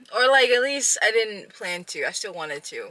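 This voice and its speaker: A woman talks at a moderate pace with lively intonation. Her tone is bright and sharp, yet relaxed. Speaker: vlogger. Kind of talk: casual vlog talk. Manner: casual, relaxed.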